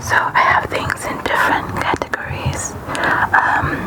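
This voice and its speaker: Whispering with a relaxed tone, a woman speaks at a fairly slow pace over noticeable background noise. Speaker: ASMR creator. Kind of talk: ASMR product review talking to camera. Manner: breathy whisper, relaxed.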